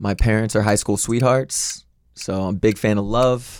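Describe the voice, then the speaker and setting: An ordinary speaking voice from a man, fairly low in pitch, with fairly even intonation at a moderate pace on a very clean recording with a silent background. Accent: American. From US Midwest, St. Louis, Missouri. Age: 20s. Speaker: aspiring actor, dating show contestant. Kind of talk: casual chat. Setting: studio.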